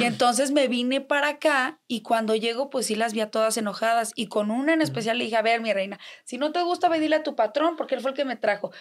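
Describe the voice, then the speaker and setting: A woman speaks in a high voice at a very fast pace, with hardly any pauses. Her pitch varies in an ordinary way, and the recording is very clean with a silent background. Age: 20s. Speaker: influencer. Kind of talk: casual chat. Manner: animated.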